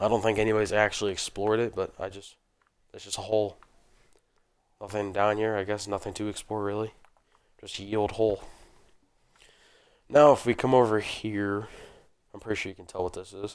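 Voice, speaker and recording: On a very clean recording with a silent background, a man speaks fairly quickly in a relaxed tone at a fairly low pitch, his intonation monotone and flat, his loudness swinging widely and his speech broken by long, frequent pauses. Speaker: gaming video creator. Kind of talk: casual gameplay commentary. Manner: relaxed, meandering.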